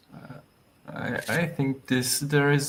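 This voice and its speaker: Light background noise sits behind a man who speaks with a French accent at a fairly slow pace. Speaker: GIS expert panelist; panelist. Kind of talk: panel Q&A session. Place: home room.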